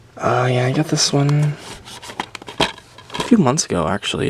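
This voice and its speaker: This man is soft-spoken. Noticeable background noise sits behind him. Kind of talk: ASMR soft-spoken game collection talk.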